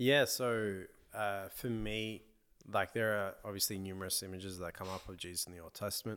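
A man with an Australian accent speaks at a moderate pace with a fairly low pitch and fairly even intonation. The recording is very clean, the background silent. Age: 20s. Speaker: podcast host and church member. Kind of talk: casual chat.

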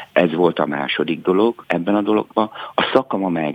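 A man at a moderate pace, with ordinary pitch variation and noticeable background noise. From rural Hungary. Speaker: actor and theatre director. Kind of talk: radio interview.

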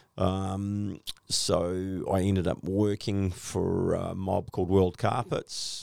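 In a very clean recording against a silent background, a man with a very deep, low pitch talks in an Australian accent, his intonation flat and monotone. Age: 60s. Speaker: flooring business owner. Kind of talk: casual interview. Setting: studio.

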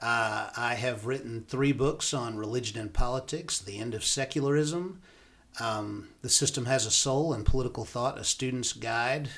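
A normal speaking voice with an American accent, at a moderate pace with ordinary pitch variation. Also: man, medium pitch for a man. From US South (Alabama, Florida panhandle). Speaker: professor and university dean. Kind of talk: podcast interview.

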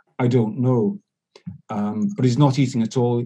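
Talking at a fairly quick pace, a man with a medium pitch has a somewhat breathy voice and a dark, mellow tone. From Scotland. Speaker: veterinarian and media commentator. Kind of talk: casual interview chat.

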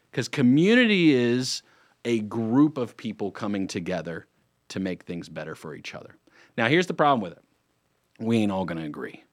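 With an American accent, a man at medium pitch speaks at a fairly quick pace in an animated tone, with very wide pitch swings, big swings in loudness and long, frequent pauses, on a very clean recording with a silent background. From North Carolina, Lake Norman area. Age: 30s. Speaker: radio host and real estate attorney. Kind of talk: radio talk show monologue. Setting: radio studio.

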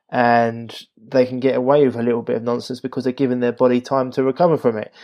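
Very fast speech comes from a man with a medium pitch. His intonation is monotone and flat. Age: 30s. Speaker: health podcast host. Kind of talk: casual chat. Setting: video call. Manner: halting.

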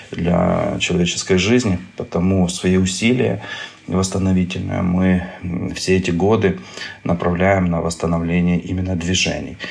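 In a very deep, low pitch, a man speaks at a moderate pace against noticeable background noise. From Ukraine. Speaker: neurosurgeon. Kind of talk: interview. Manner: hesitant, with filler sounds.

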